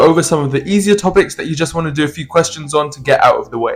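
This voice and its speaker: Amid noticeable background noise, a man with a fairly high voice talks at a very fast pace. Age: young. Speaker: A-level student. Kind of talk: casual unscripted study-tips talk to camera.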